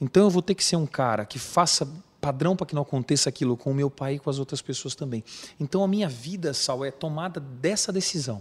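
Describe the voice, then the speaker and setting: With a fairly high pitch and a somewhat breathy quality, a man talks fairly quickly with ordinary pitch variation, the sound dry and close with no echo. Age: 40s. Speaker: emergency physician. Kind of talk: interview. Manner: emotional, earnest.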